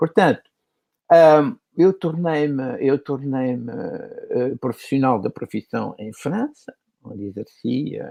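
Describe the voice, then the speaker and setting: Speaking very slowly, a man with a fairly high pitch and a dark, mellow tone makes very wide pitch swings and big swings in loudness, in a dry, close sound with no echo. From Portugal, Lisbon. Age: 80s+. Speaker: animator and author. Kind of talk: casual chat.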